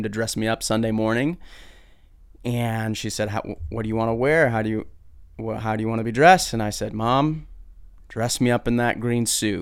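A man with an American accent has an ordinary speaking voice at medium pitch. He moves at a fairly quick pace with ordinary pitch variation. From Brazil and Michigan (American missionary family). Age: 20s. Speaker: podcast host and pastor. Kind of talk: personal testimony.

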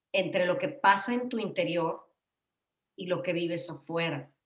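At a fairly slow pace, a woman speaks at a medium pitch with ordinary pitch variation in a plain, everyday voice. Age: 50s. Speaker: psychotherapist, podcast co-host. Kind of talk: casual chat.

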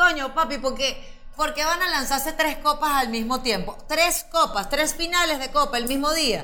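A woman's raised, projected voice, high in pitch with ordinary pitch variation, at a moderate pace, with audible room echo and noticeable background noise. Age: 30s. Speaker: podcast co-host, comedian. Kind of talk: casual comedic chat.

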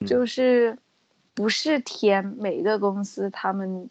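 Her voice sits at a medium pitch, and the woman shows ordinary pitch variation. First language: Mandarin Chinese (speaking Japanese). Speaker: foreign worker in Japan. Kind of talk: casual chat.

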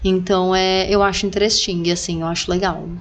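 A woman's fairly even intonation amid noticeable background noise. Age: 30s. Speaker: podcast host. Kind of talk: casual chat.

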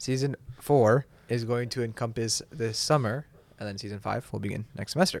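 At a moderate pace, a man talks at a medium pitch in an ordinary speaking voice. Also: ordinary pitch variation. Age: 20s. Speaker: college student, podcast co-host. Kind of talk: casual chat; scripted intro.

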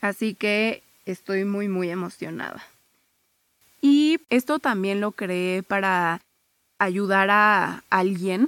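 In a very clean recording with a silent background and a dry, close sound free of echo, a woman speaks very slowly at a medium pitch with ordinary pitch variation. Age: 20s. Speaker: podcast host, psychologist. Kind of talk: casual monologue.

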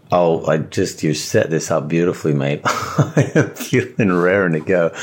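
Noticeable background noise sits behind a man talking at a moderate pace. His loudness stays very even. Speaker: podcast co-host. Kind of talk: casual chat. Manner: halting, with many fillers.

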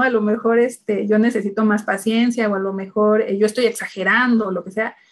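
In a normal speaking voice, a woman talks at a fairly quick pace with fairly even intonation and a fairly high pitch. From Mexico City. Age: 30s. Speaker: human resources executive and single mother. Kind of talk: casual interview chat.

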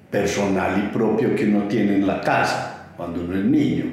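In an Antioquian accent, a man speaks at a fairly slow pace with a fairly low pitch, amid audible room echo and noticeable background noise. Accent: Colombian paisa (Antioquia). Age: 60s. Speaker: toy collector, museum founder. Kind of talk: interview testimony. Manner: halting, many fillers.

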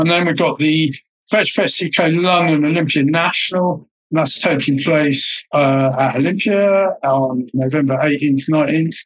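Speaking at a fairly slow pace with an English accent, a man holds a fairly high pitch, fairly even intonation and very even loudness. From Mediterranean (raised there, English family). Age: 60s. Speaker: vegan event organiser. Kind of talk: interview.

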